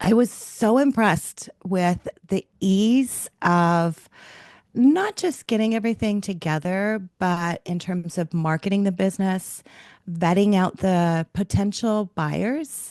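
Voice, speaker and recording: Against a quiet background, a woman at medium pitch talks at a very slow pace with ordinary pitch variation, in a dry, close sound with no echo. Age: 60s. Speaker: business owner selling her company. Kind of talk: testimonial interview. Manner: conversational with fillers.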